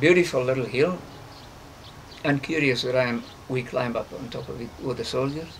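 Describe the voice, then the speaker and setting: A man at a fairly high pitch and fairly quick pace, with noticeable background noise. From South Africa. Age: 60s. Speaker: conservationist. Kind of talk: interview. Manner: halting, many fillers.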